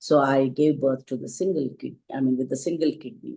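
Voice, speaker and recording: A woman's very deep, low voice with vocal fry, a dark, mellow tone, ordinary pitch variation and a Telugu accent. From India, Telugu-speaking region. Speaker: school founder and teacher. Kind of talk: panel interview, personal story.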